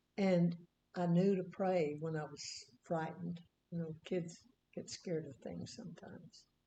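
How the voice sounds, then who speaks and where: A woman's fairly low, somewhat breathy voice with a dark, mellow tone, fairly even intonation, moderate pace, long, frequent pauses and big swings in loudness. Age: 90s. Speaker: Bible teacher. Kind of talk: casual chat. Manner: halting.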